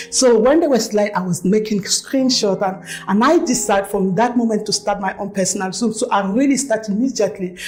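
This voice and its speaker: Noticeable background noise surrounds a woman speaking at a fairly quick pace. Her pitch is fairly high. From Cameroon. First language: French. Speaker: network marketing leader. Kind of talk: testimony.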